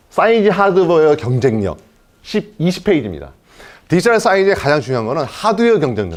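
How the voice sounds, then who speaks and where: Moving at a very fast pace, a man with a fairly high pitch makes very wide pitch swings. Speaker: company CEO. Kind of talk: investor presentation.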